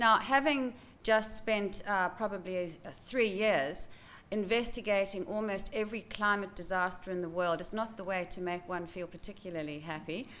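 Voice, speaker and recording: With a bright, sharp tone, a woman talks at a moderate pace and with ordinary pitch variation. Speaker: presenter. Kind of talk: lecture. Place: hall. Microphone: podium.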